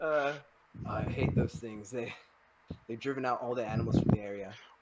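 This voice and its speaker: Putting on a character voice, a man speaks breathily at a fairly quick pace and a medium pitch. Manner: put-on.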